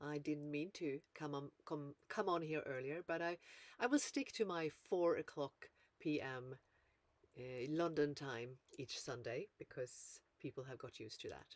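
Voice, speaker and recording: A woman's very deep, low voice at a fairly slow pace, dry and close with no echo. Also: ordinary pitch variation. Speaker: life coach. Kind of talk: livestream talk. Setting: livestream. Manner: halting.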